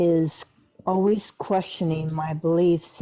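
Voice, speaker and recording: A woman speaks at a very slow pace with fairly even intonation and a fairly low pitch. Music plays in the background. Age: 60s. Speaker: caller. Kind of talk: casual chat.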